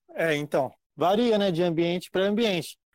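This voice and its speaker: A man speaks with ordinary pitch variation in a dry, close sound with no echo. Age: 20s. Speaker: pharmacy clerk and gym member. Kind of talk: casual interview. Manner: halting.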